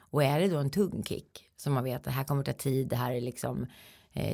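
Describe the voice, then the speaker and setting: With vocal fry and ordinary pitch variation, a woman speaks fairly quickly in a very deep, low pitch. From Sweden, Eskilstuna. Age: 40s. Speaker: health lecturer and coach. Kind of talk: interview.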